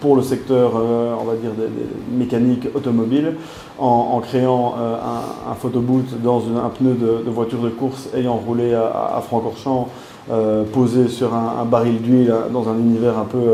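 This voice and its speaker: There is audible room echo and noticeable background noise around a man speaking at a medium pitch. His pace is fairly slow and his intonation is monotone and flat. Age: 20s. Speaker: small business manager. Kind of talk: interview. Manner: halting, many fillers.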